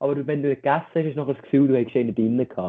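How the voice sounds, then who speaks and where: A man speaks with a Lucerne accent at a fairly high pitch. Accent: Lucerne hinterland Swiss German dialect. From Switzerland, Lucerne hinterland. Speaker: podcast co-host. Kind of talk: casual chat.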